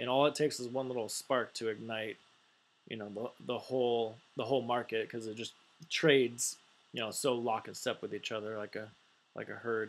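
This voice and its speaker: A man's medium-pitched voice with monotone, flat intonation. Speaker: stock market commentator. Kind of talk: screen-share market analysis video. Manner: fast; casual, filler-heavy.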